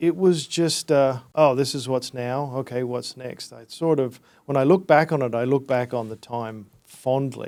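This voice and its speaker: Fairly even intonation from a man with an Australian accent. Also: medium pitch for a man, fairly slow pace, hardly any pauses, big swings in loudness, very clean recording, silent background. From Australia, Brisbane. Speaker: entrepreneur. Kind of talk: casual interview.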